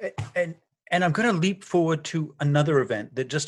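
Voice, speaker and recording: Here a man talks with an Irish accent. He keeps a moderate pace. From Ireland. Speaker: podcast host, journalist and professor. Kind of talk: interview.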